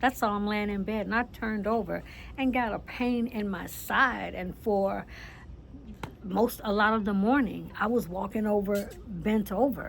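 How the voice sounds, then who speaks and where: Somewhat breathy and at medium pitch, a woman speaks fairly slowly with fairly even intonation. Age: 60s. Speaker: author and lifestyle vlogger. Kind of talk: casual motivational talk. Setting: outdoors on a patio. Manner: conversational, with fillers and repetitions.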